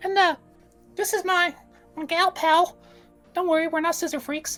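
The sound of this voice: Someone performs a put-on character voice at an extremely high pitch. Faint music plays in the background. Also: moderate pace.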